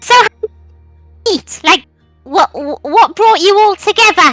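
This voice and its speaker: A woman's put-on character voice, extremely high-pitched and fairly slow, with faint music in the background. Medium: actual play. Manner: eager, excitable.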